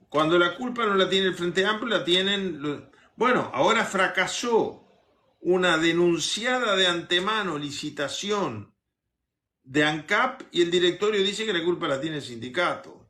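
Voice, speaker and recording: Bright and sharp in tone, a man's high voice carries lively intonation. He speaks at a fairly slow pace. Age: 70s. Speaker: politician. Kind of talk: interview.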